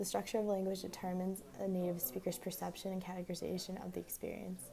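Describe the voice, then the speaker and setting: A quiet woman's voice at medium pitch. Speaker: student. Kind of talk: class assignment review. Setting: library.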